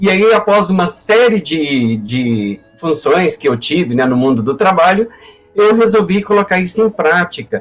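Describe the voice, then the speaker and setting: A man's high voice at a fairly slow pace, with very wide pitch swings and very even loudness, over music in the background. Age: 60s. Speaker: history professor. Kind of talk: personal testimony in a live panel. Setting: online live stream. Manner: halting, many repetitions and fillers.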